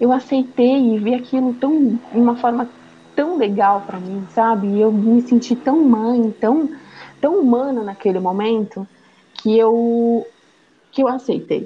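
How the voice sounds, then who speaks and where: A woman talks at a fairly slow pace with a fairly high pitch and ordinary pitch variation. Noticeable background noise is present. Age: 30s. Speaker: mother sharing personal story. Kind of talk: testimony.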